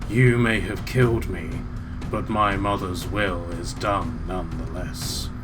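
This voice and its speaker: Over loud background noise, a man does a raspy put-on character voice, fairly low in pitch and fairly slow. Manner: direct, ominous.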